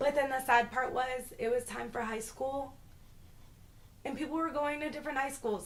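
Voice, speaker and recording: With audible room echo, a woman speaks in an animated tone at a high pitch with ordinary pitch variation. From Boston, Massachusetts, later Florida. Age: 20s. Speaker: YouTuber. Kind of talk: casual vlog storytelling.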